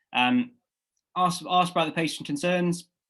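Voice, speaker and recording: A man with a British accent is heard in a very clean recording with a silent background. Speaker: medical student tutor. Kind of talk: lecture. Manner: fast; halting, many fillers.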